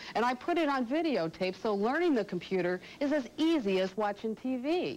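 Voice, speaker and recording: Against noticeable background noise, a woman talks at a fairly quick pace in a high pitch with very wide pitch swings. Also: very even loudness. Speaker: computer instructor, radio talk show host. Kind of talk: TV infomercial pitch.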